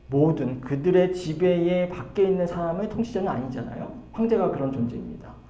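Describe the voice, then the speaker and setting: A man with a high-pitched voice talks at a moderate pace with lively intonation, and the room echo is audible. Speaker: pastor. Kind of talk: Bible study lecture. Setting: church. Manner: halting with fillers.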